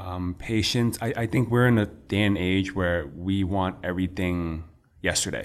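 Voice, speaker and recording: A man speaks in a New York accent with a very deep, low pitch. His pace is moderate. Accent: New York American. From New York City, Chinatown. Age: young. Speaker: restaurant owner and entrepreneur. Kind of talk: casual interview chat. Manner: animated.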